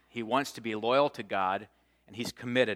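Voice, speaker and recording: On a very clean recording with a silent background, a man's bright, sharp tone carries ordinary pitch variation. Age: 40s. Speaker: pastor. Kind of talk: sermon. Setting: church.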